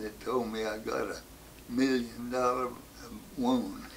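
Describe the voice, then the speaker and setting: There is noticeable background noise as a man with an American accent speaks at a fairly slow pace. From West Virginia. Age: 80s+. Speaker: war veteran. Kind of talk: interview answer.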